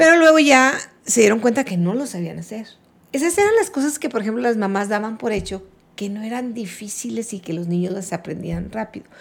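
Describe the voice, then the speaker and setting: At a fairly quick pace, a woman with a fairly high pitch speaks with lively intonation and big swings in loudness. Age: 60s. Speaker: retired schoolteacher. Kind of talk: casual interview.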